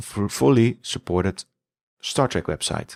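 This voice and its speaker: A man with a Dutch accent at a fairly slow pace, ordinary pitch variation, a dry, close sound with no echo, and a very clean recording with a silent background. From Netherlands. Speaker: podcast host. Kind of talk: podcast monologue. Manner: halting.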